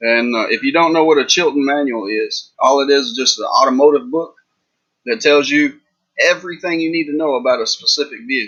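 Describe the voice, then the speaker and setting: Talking at a fairly quick pace with a Texas accent, a man uses fairly high pitch and lively intonation. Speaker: reseller youtuber. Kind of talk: casual livestream chat. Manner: casual, rambling with fillers.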